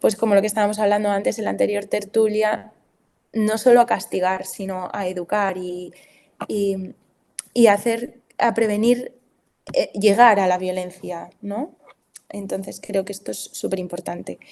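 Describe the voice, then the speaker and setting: Her tone is dark and mellow, at a medium pitch. The woman talks at a fairly slow pace with monotone, flat intonation. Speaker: family doctor and sexology student. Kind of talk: talk presentation. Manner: halting with fillers.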